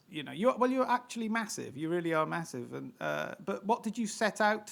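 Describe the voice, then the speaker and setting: Here a man with a British accent is heard on a very clean recording with a silent background. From Britain. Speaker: podcast host. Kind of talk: interview. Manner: halting.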